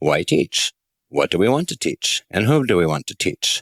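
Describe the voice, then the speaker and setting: Lively intonation from a man with an American accent, with vocal fry, at a moderate pace, in a dry, close sound with no echo. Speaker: author and industry consultant. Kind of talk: audiobook narration.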